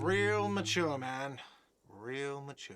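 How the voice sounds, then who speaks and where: Shouting in a put-on character voice, a man sounds whiny at medium pitch. His pitch varies in an ordinary way. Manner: shouting, sarcastic.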